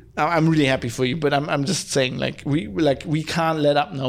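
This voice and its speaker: Talking at a very fast pace, a man with a German accent has a fairly high pitch and ordinary pitch variation. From Germany. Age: 30s. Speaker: podcast host. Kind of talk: solo podcast monologue. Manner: animated ranting; halting, many fillers and restarts.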